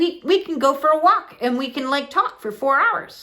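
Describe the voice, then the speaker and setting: Speaking at a moderate pace, a woman uses a raised, projected voice with a bright, sharp tone, a high pitch and lively intonation. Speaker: spiritual content creator. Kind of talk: casual monologue.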